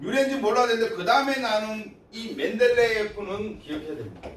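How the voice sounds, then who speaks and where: Noticeable background noise runs through the clip. The delivery keeps a moderate pace. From Gyeongsang province, Korea. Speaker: high school science teacher. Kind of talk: lecture. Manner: casual, conversational.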